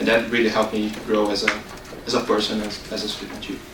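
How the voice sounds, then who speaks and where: Amid noticeable background noise and audible room echo, a man with a fairly low voice talks at a very fast pace. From Brazil. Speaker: international student. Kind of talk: board meeting testimony.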